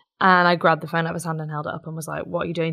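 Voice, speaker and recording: The speaker goes at a very fast pace with a southern English accent. The intonation is monotone and flat. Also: woman, quiet background. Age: 20s. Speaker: activist and campaigner. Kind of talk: interview.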